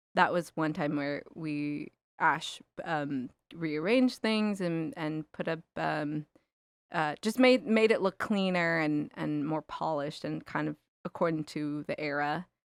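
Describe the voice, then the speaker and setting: Speaking with a Californian accent at a fairly slow pace, a woman uses a very deep, low pitch with ordinary variation, captured in a very clean recording against a silent background. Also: dry, close sound with no echo. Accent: Californian American. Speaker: filmmaker. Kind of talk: interview.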